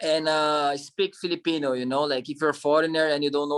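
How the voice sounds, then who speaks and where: The speaker has a strong non-native accent and talks at a fairly quick pace. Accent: strong foreign. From Brazil. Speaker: actor and model. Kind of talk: interview.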